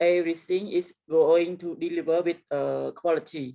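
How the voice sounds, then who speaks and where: This woman has a dark, mellow tone, a fairly low pitch and a Cambodian accent. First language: Khmer. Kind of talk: presentation. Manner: halting, many fillers.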